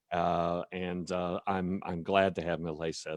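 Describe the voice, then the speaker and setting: A man with a North Carolina accent speaks at a fairly slow pace in a very deep, low voice. The sound is dry and close with no echo, against a quiet background. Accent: US Southern (North Carolina). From North Carolina, Cumberland County. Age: 60s. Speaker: state legislator. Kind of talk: speech at online advocacy event. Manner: halting, many fillers.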